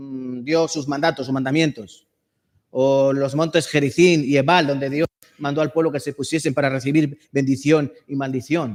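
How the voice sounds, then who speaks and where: A man with a plain, everyday voice speaks at a moderate pace with a fairly high pitch and fairly even intonation. The recording is very clean, with a silent background. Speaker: preacher. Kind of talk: sermon.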